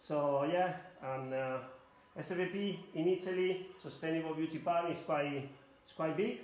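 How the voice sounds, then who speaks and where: With audible room echo and noticeable background noise, a man talks at a moderate pace in a fairly high pitch, his intonation fairly even but his loudness swinging widely. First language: Spanish. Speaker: hairdresser educator. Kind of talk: live demonstration tutorial. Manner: halting non-native English.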